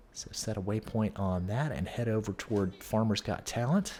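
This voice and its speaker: A man with a calm tone and fairly low pitch at a moderate pace, music in the background. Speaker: gaming youtuber. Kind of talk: gameplay tutorial. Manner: calm, conversational.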